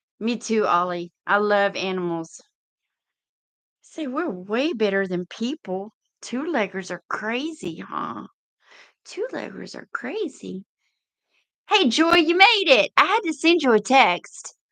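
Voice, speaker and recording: A woman with a Texan accent speaks at a very slow pace in a fairly high, bright, sharp voice, with very wide pitch swings, big swings in loudness, and long, frequent pauses. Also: dry, close sound with no echo. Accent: Texas Southern. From East Texas. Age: 50s. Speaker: livestream host, truck driver. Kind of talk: casual livestream chat. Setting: live video stream.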